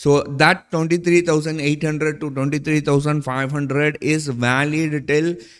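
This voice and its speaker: Speaking at a moderate pace, a man keeps a fairly high pitch and fairly even intonation. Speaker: stock market analyst. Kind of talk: market analysis video. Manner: confident.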